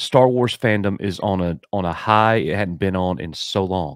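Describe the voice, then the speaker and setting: A man's voice, dry and echo-free, over a quiet background. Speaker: teacher and fan podcaster; teacher, fan podcaster. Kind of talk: casual chat. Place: home room. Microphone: studio mic.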